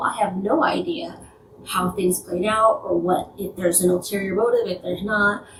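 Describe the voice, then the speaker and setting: A woman with medium pitch speaks at a fairly quick pace over noticeable background noise. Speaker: YouTuber. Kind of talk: casual vlog commentary. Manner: not enunciating, mouth barely open.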